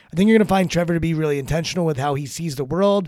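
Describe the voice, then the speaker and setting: With an American accent, a man has an ordinary speaking voice at a fairly high pitch. The recording is very clean with a silent background and a dry, close sound with no echo. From Maryland. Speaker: podcast host and executive coach. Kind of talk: casual interview; podcast intro narration.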